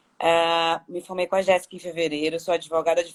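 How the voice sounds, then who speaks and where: The woman has a fairly low pitch and speaks with a Bahian accent. Her pace is moderate. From Salvador, Bahia, Brazil. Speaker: lawyer training as therapist. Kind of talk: casual chat.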